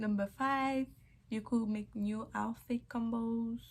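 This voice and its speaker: A woman speaks at a very slow pace, her fairly high voice somewhat breathy. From Haiti. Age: 20s. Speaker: YouTuber. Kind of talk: vlog storytime. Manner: casual, chatty.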